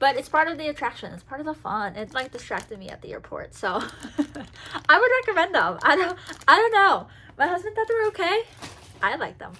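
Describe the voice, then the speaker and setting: A woman with an extremely high pitch talks very fast in a raised, projected voice and an animated tone, her pitch swinging very widely and her loudness in big swings, broken by long, frequent pauses over noticeable background noise. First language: Spanish. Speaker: travel and Disney vlogger. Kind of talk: casual haul video talk. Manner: chatty, animated.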